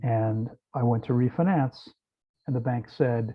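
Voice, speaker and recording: In a Mid-Atlantic American accent, a man speaks at a medium pitch, somewhat breathy and with fairly even intonation. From US East Coast, outside Washington DC. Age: 60s. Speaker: raw vegan fasting center owner. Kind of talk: interview.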